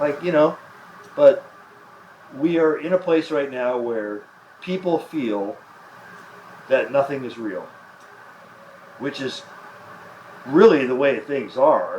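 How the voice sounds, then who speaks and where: Over noticeable background noise, a man with an American accent and fairly high pitch speaks very slowly, with ordinary pitch variation, big swings in loudness and long, frequent pauses. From US Midwest, Chicago. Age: 60s. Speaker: author and media experimenter. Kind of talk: onstage conversation.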